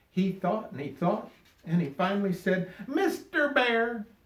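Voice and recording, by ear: The intonation rises and falls in a lively way. Text is being read aloud in a natural voice.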